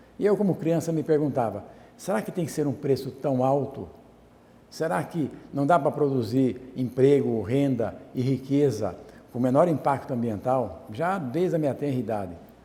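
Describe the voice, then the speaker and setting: Lively intonation and a dark, mellow tone mark a man speaking at a moderate pace. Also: medium pitch for a man. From Brazil, Jundiaí, São Paulo state. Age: 60s. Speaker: artisan. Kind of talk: talk.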